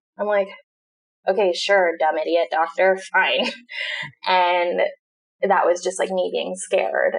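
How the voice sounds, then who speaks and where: A woman speaks at a fairly slow pace with an American accent. Her speech has long, frequent pauses. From Southern California. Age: 20s. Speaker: digital marketing entrepreneur. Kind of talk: casual chat.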